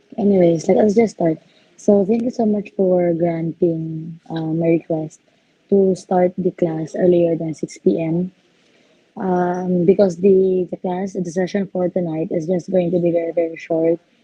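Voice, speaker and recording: A woman with a Visayan Filipino accent, fairly low pitch and monotone, flat intonation, at a fairly slow pace. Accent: Filipino (Cebuano) English. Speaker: engineering lecturer. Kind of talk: class orientation. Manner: hesitant, many fillers.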